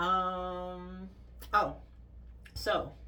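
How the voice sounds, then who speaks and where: Noticeable background noise and audible room echo around a woman's voice. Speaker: vlogger sharing orthodontic treatment. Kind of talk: casual vlog update. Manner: frequent filler ums.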